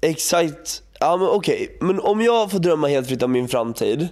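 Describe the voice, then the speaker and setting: A man with a high pitch and a dark, mellow tone speaks at a moderate pace with lively intonation. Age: 20s. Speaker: podcast co-host. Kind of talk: casual chat.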